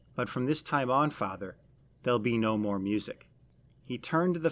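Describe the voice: Medium in pitch, a man talks at a moderate pace with ordinary pitch variation. The recording is very clean, with a silent background.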